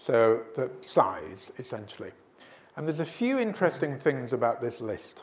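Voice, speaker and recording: Speaking at medium pitch, a man lets his voice swing very widely in pitch. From Scotland. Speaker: business author and speaker. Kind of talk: business presentation to an audience. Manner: conversational, with hesitations.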